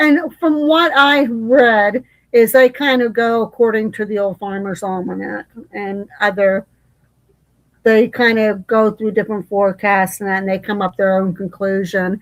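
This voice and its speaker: A woman talks in an unremarkable speaking voice, fairly high in pitch, with ordinary pitch variation and a moderate pace. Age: 60s. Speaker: live stream host. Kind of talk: casual chat.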